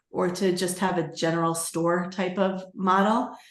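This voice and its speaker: Audible room echo hangs around a woman speaking at a medium pitch and a fairly slow pace. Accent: American. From New York. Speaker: Etsy seller and coach. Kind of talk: webinar tutorial.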